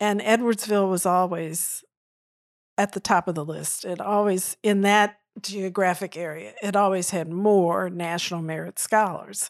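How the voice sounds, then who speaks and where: A woman's normal speaking voice at medium pitch, with an American accent, moderate pace and fairly even intonation, on a very clean recording with a silent background. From St. Louis, Missouri, US. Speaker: retired systems analyst and board member. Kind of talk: interview.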